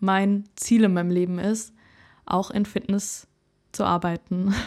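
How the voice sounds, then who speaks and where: At a fairly slow pace, a woman speaks in a monotone, flat way at medium pitch, on a very clean recording with a silent background. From Germany, Karlsruhe (Baden). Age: 20s. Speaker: singer and podcast host. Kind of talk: casual monologue.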